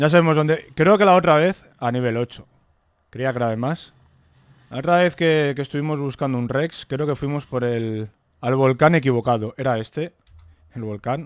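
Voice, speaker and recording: Against a quiet background, a man speaks at a moderate pace with a fairly high pitch and ordinary pitch variation. The sound is dry, with no echo. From Spain. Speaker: gaming youtuber. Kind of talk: gameplay commentary. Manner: animated. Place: home room.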